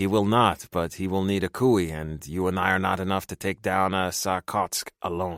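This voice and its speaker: On a very clean recording with a silent background, a man uses a put-on character voice with a very deep, low pitch, a moderate pace and hardly any pauses. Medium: read story. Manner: formal, no contractions.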